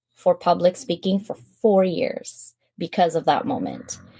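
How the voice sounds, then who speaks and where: With a Filipino accent, a woman talks at a fairly slow pace in a medium-pitched, somewhat breathy voice with a dark, mellow tone. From Philippines. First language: Filipino language. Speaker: public speaker. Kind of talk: interview storytelling. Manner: animated.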